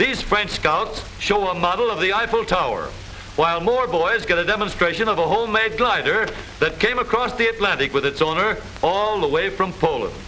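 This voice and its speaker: A high-pitched man talks in a raised, projected voice at a fairly quick pace, with ordinary pitch variation and very even loudness. Noticeable background noise can be heard. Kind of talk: vintage newsreel narration, humorous. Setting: old film soundtrack.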